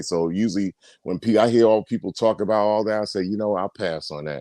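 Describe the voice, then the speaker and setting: A man speaks at a fairly quick pace with a fairly low pitch and ordinary pitch variation. The recording is very clean, with a silent background and a dry, close sound with no echo. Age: 60s. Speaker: caller. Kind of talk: casual chat. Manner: animated; halting.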